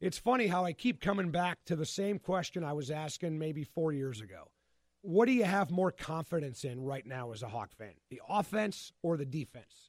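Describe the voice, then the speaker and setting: His pitch is fairly high and swings very widely. This man's loudness also rises and falls in big swings. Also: moderate pace. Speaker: sports reporter. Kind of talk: casual chat.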